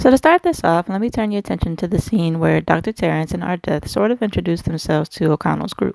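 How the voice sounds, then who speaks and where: A woman with a fairly low pitch and vocal fry speaks very fast in a dark, mellow tone, recorded with a dry, close sound and no echo. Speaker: film theory vlogger. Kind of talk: casual video commentary.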